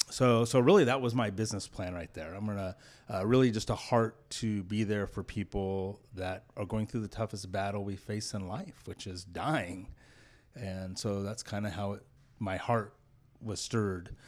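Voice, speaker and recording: In a very clean recording with a silent background, a man with an American accent and a fairly low, normal speaking voice talks at a moderate pace with fairly even intonation. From US West Coast, Clovis, California. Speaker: business owner and executive. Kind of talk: interview.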